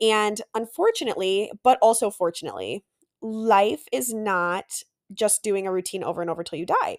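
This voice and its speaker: In a very clean recording with a silent background and a dry, close sound with no echo, a woman speaks at a moderate pace with medium pitch and ordinary pitch variation. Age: 20s. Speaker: podcast host and nurse practitioner student. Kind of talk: casual solo podcast monologue.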